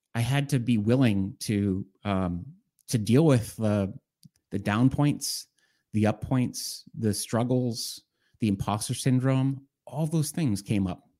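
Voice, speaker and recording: Speaking at a very slow pace with an American accent, a man of medium pitch has a dark, mellow tone and ordinary pitch variation, captured in a very clean recording with a silent background. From Boston, Massachusetts. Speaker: executive coach. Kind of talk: interview.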